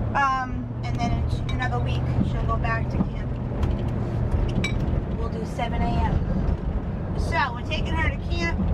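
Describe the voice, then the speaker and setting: Moderate-paced speech over loud background noise. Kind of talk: casual vlog chat. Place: car. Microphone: camera far.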